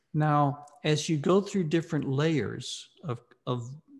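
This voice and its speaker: On a very clean recording with a silent background, a man with an American accent speaks in a somewhat breathy voice. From US South, Mississippi. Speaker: philosophy professor and author. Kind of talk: interview.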